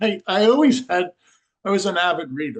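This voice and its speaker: A normal speaking voice from a man, moderately paced and with ordinary pitch variation. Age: 60s. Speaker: scalar energy researcher. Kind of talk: podcast interview.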